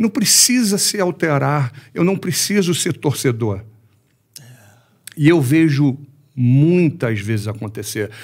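The speech is very slow, with long, frequent pauses and very wide pitch swings. The voice is somewhat breathy, and the background is quiet. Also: man, fairly high pitch for a man. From Brazil. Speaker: MMA coach and former fighter; MMA coach. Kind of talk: casual interview. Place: studio. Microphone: studio mic.

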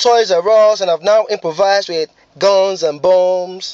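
Against a quiet background with a dry sound and no echo, a man with a Nigerian accent speaks at a moderate pace in a high pitch with fairly even intonation. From Lagos, Nigeria. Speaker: spoken word poet. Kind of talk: spoken word poetry performance. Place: car. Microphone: phone near.

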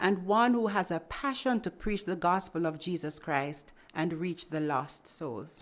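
Here a woman uses a plain, everyday voice at medium pitch with lively intonation. She talks at a moderate pace on a very clean recording with a silent background. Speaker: podcast host. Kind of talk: interview.

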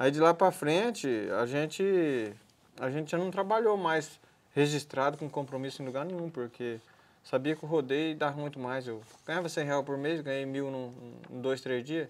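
Pausing long and often, a man talks at a moderate pace with a fairly high pitch and ordinary pitch variation. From Brazil, Paraná and Mato Grosso; Brazil. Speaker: retired bull rider; guest. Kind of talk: interview. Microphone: lapel.

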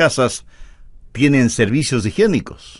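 Here is an ordinary speaking voice. A man talks at a fairly slow pace. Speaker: preacher. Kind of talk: sermon.

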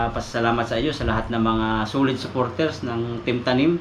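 A man's plain, everyday voice, medium in pitch, at a fairly quick pace. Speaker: vlogger. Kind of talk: casual vlog narration. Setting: outdoors by a river.

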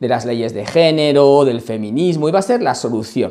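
With a dark, mellow tone, a man speaks at a moderate pace and medium pitch with ordinary variation. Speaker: lawyer and political commentator. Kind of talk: political commentary vlog.

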